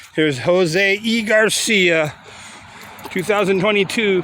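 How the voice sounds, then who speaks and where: A man with a high pitch and a relaxed tone speaks at a very slow pace, using ordinary pitch variation. Noticeable background noise runs underneath. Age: 60s. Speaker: YouTuber touring cemeteries. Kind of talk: casual vlog narration. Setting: outdoors in a cemetery. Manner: relaxed, halting with fillers.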